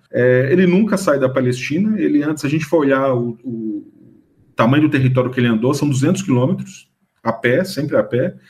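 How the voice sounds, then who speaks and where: This man talks at a moderate pace in a fairly high pitch, his voice somewhat breathy and his pitch variation ordinary. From Minas Gerais, Brazil (Ouro Preto area). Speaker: history professor and author. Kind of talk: radio interview. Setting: radio studio. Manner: halting, with repetitions.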